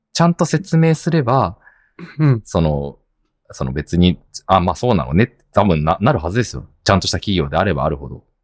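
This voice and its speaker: A man with a very deep, low voice speaks at a fairly quick pace. Vocal fry and very wide pitch swings mark his delivery. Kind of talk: casual chat.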